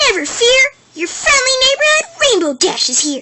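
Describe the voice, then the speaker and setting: Extremely high pitch from a woman in a put-on character voice, moving at a moderate pace. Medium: voice reel. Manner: brash, energetic, boastful.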